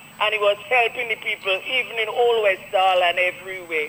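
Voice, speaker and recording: A woman talks at a moderate pace in a Grenadian accent. Noticeable background noise can be heard. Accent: Grenadian Creole English. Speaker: caller. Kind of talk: call-in radio talk. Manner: heated, indignant.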